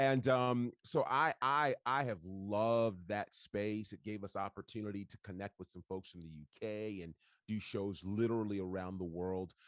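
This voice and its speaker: The speaker has a plain, everyday voice with an American accent, a moderate pace and ordinary pitch variation. The sound is dry and close with no echo, over a quiet background. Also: man, fairly low pitch for a man, hardly any pauses. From New York State (Monticello, Northeast US). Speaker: wrestling commentator and radio station owner. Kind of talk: casual interview chat.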